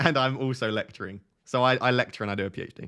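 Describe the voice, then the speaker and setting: Speaking very fast with fairly even intonation, a man with an Essex accent is heard on a very clean recording with a silent background. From Essex, England. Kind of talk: casual, with dropped T sounds.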